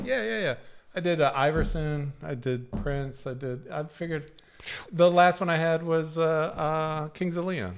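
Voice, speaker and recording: A fairly high-pitched man with an unremarkable speaking voice, at a fairly slow pace with ordinary pitch variation. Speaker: podcast co-host. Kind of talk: casual chat.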